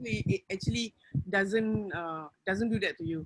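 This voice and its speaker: Recorded dry and close with no echo, a woman speaks at a moderate pace with lively intonation. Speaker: wellness program participant. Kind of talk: testimony. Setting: video call. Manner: loud; animated.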